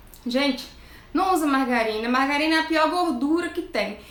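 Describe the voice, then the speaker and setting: Audible room echo surrounds a woman whose high-pitched voice has an animated tone and ordinary pitch variation. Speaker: nutritionist. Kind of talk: live stream talk.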